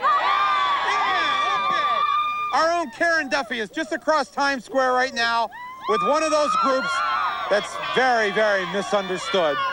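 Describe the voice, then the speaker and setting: A man talks fairly slowly while noticeable background noise plays behind him. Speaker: TV host. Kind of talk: TV show host link.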